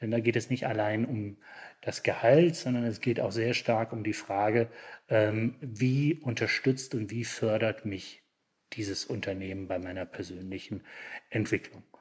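A somewhat breathy man's voice at a fairly slow pace with ordinary pitch variation, on a very clean recording with a silent background. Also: medium pitch for a man. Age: 50s. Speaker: managing director of an industry association. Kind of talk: interview. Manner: hesitant, many filler sounds.

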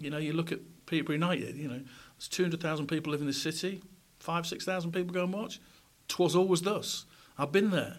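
With a Yorkshire accent, a man talks very fast at a high pitch with fairly even intonation, broken by long, frequent pauses. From South Yorkshire, England. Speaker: former radio presenter and journalist. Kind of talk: interview conversation. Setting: recorded on a university campus.

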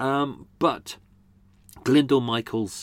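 The recording is very clean and the background silent. The speaker is a man with a London accent. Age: 40s. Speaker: true crime podcaster and tour guide. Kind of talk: casual chat. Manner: hesitant, many fillers.

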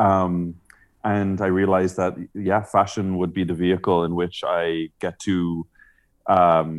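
Very deep and low, a man's voice comes at a very slow pace in a Dublin accent on a very clean recording with a silent background. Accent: Dublin Irish. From Ireland, Dublin. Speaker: celebrity hairstylist. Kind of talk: interview. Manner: halting, many fillers.

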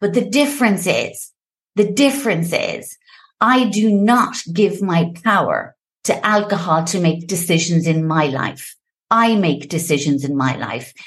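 Speaking with an Irish accent, a woman uses a fairly slow pace, medium pitch, lively intonation and an animated, somewhat breathy tone. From Ireland, Limerick. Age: 50s. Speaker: founder of a sobriety support platform. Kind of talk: podcast interview. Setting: home office.

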